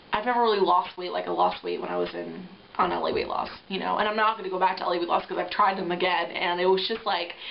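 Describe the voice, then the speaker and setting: With an American accent, a woman races along at a very fast pace with hardly any pauses, amid noticeable background noise. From upstate New York. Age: 20s. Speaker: reality show applicant. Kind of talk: audition video monologue. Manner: rambling, hesitant with fillers.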